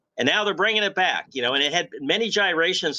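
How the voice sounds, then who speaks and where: A man's bright, sharp voice with vocal fry at a very fast pace, against a quiet background. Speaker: golf broadcaster and host. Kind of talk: sports broadcast host banter.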